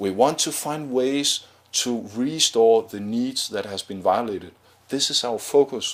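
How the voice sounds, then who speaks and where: With a non-native accent, a man speaks at a medium pitch while his loudness swings widely. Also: ordinary pitch variation, fairly slow pace. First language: not English. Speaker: nonviolent communication trainer and mediator. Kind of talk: educational talk to camera. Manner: improvised, hesitant with fillers.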